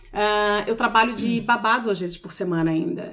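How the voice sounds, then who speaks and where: A woman talks in an ordinary speaking voice at a fairly high pitch. Her pace is fairly quick, with ordinary pitch variation. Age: 40s. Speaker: personal organizer. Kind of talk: casual chat.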